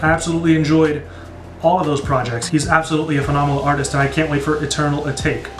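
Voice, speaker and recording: A man's fairly high, monotone voice with flat intonation and an American accent, with audible room echo and music in the background. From United States. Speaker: music reaction YouTuber. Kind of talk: casual Q&A video. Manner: casual with many fillers.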